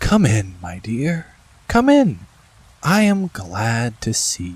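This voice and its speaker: At a very slow pace, a man puts on a character voice at a medium pitch. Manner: welcoming.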